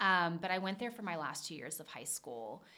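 Audible room echo surrounds a woman with an American accent whose bright, sharp tone holds fairly even intonation. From Charleston, South Carolina. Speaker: ballet academy director, former principal dancer. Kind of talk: interview. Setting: studio, sitting across from host.

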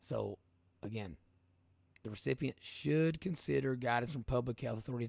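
Energetic and lively in intonation, a man with an Appalachian accent talks at a moderate pace and a medium pitch. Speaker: podcast host and livestreamer. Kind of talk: informal, colloquial grammar. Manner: energetic, casual, conversational.

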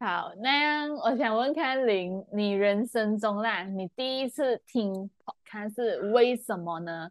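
A woman's fairly high voice at a very slow pace, lively in intonation, with hardly any pauses and a dry, close sound free of echo. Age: 20s. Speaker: podcast co-host. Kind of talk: casual chat.

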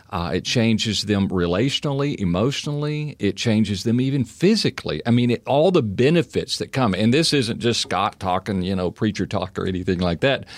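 Speaking with an unremarkable speaking voice and an American accent, a man talks at a fairly quick pace and a medium pitch, with lively intonation and hardly any pauses. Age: 60s. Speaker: housing business owner and former pastor. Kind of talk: casual interview. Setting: studio.

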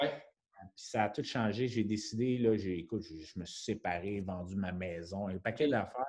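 Hardly pausing, a man speaks at a moderate pace in an unremarkable speaking voice, fairly low in pitch with ordinary pitch variation. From Quebec, Montreal. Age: 30s. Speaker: fitness coach and bodybuilding athlete. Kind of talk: casual interview.

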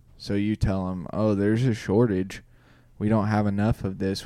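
In a Midwestern US accent, a man speaks with a fairly low pitch and a dark, mellow tone. His intonation is monotone and flat, at a moderate pace. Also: very clean recording, silent background. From Indiana. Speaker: podcast host. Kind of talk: casual chat. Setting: studio.

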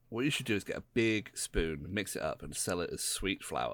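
A man with a British accent at a moderate pace. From Britain. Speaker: podcast co-host. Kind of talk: casual chat. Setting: voice chat.

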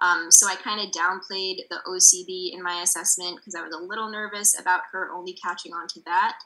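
A woman talks at a fairly quick pace with hardly any pauses, her medium-pitched voice flat and monotone in intonation yet swinging widely in loudness. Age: 20s. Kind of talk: casual interview.

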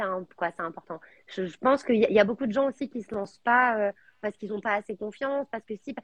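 A normal speaking voice from a woman, fairly high in pitch and fairly quick, with ordinary pitch variation and a dry, close sound with no echo. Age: 30s. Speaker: entrepreneur, founder of a menstrual products brand. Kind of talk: live interview. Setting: live video stream.

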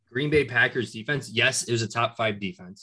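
A man's voice has a bright, sharp tone at a medium pitch. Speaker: sports podcast co-host. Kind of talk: casual sports debate.

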